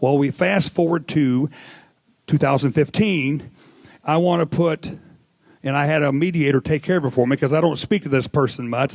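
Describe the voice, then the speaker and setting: Speaking at a moderate pace, a man has a Missouri accent and a fairly high pitch. The background is quiet. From Missouri, US. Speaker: audience member asking a question. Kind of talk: audience Q&A. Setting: live audience. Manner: rambling, informal.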